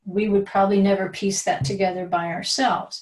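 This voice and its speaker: A woman speaks at a medium pitch, somewhat breathy, with ordinary pitch variation. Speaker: Bible teacher. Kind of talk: lecture.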